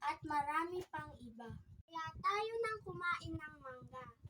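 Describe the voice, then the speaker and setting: A woman projects a bright, sharp, high voice at a very slow pace, with very wide pitch swings and big swings in loudness. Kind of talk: infomercial product read.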